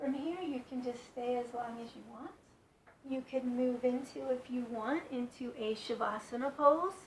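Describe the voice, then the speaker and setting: The tone is calm, with big swings in loudness. Noticeable background noise is present. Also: woman, high pitch for a woman, ordinary pitch variation. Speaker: yoga instructor. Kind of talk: guided yoga instruction. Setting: in bed at home. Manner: calm, slow.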